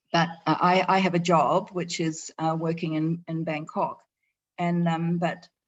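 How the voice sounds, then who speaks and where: With a New Zealand accent, a woman speaks in a fairly low, monotone voice with flat intonation at a fairly slow pace over a quiet background. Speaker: eco resort owner. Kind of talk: presentation. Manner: halting, many fillers.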